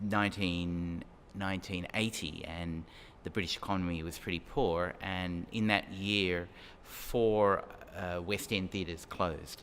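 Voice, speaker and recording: His voice very deep and low, a man speaks fairly slowly with fairly even intonation. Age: 60s. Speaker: space law professor. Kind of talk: interview. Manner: halting.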